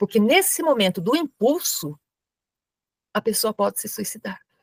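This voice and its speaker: A woman speaks at a moderate pace with very wide pitch swings, the sound dry and close with no echo. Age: 70s. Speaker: spiritist lecturer and crisis-line volunteer. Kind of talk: lecture.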